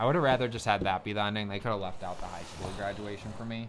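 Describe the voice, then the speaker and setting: Speaking at a fairly quick pace, a man with a fairly low pitch is heard with audible room echo. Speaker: podcast host. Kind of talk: casual chat. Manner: fast; animated.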